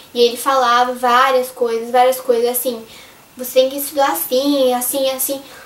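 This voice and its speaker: Through noticeable background noise, a woman talks at a fairly quick pace in a high pitch with monotone, flat intonation. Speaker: youtuber. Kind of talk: casual vlog.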